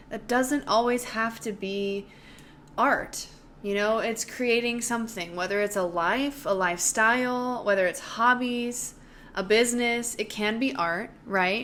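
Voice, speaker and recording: Here a woman speaks in a normal speaking voice at a fairly slow pace. Her pitch is fairly high, with ordinary variation. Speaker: dancer. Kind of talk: casual talk to camera.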